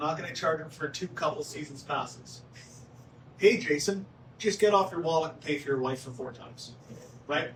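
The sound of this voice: The delivery moves at a moderate pace. Its pitch varies in an ordinary way. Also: man, fairly high pitch for a man.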